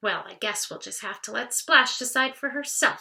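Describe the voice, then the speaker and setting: Using a put-on character voice, a woman speaks at a high pitch. Her pace stays moderate. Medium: read story. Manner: chirpy.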